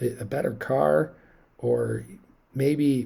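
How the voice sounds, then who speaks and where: Somewhat breathy and dark, mellow in tone, this man speaks with an American accent at a medium pitch. His pitch swings very widely. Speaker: investing commentator. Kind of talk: market analysis monologue. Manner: rambling, hesitant.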